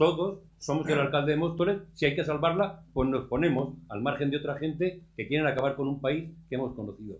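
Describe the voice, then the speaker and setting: Speaking at a fairly quick pace, a man with a fairly high pitch sounds somewhat breathy, with ordinary pitch variation. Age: 60s. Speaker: audience member commenting. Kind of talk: audience comment at round table. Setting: round table event with audience.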